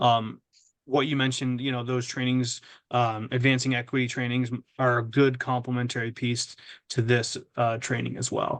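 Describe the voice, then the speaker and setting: At a moderate pace, a man talks in a medium pitch with monotone, flat intonation. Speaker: webinar presenter, trainer. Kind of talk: webinar Q&A. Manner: loud; halting, many fillers and repetitions.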